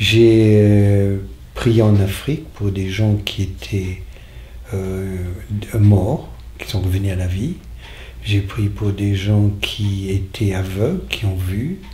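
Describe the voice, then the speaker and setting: Speaking at a very slow pace with long, frequent pauses, a man with a fairly low pitch and ordinary pitch variation is heard amid audible room echo and noticeable background noise. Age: 60s. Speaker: faith healer. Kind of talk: testimony. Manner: halting.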